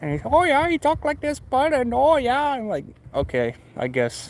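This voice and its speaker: A man with an American accent, talking at a moderate pace. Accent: Michigan accent, noticeable to others. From Michigan. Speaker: motorcycle hobbyist streamer. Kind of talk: casual live stream chat.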